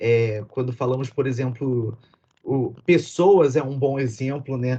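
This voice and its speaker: A somewhat breathy man's voice, fairly high in pitch, dark and mellow in tone, at a fairly slow pace. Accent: Brazilian. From Brazil.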